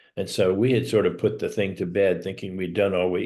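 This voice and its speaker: This man has a very deep, low pitch and talks at a moderate pace. The background is quiet. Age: 70s. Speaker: widower. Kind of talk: interview. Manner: halting.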